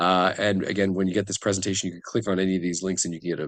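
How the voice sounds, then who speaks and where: Against a quiet background, a man speaks at a fairly low pitch. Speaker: workshop facilitator. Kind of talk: online workshop presentation. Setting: video call. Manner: fast.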